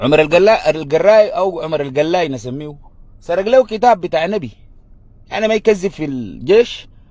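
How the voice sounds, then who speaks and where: This man has a high-pitched voice and an animated tone. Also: lively intonation, moderate pace. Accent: Sudanese. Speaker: political commentator. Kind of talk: political monologue.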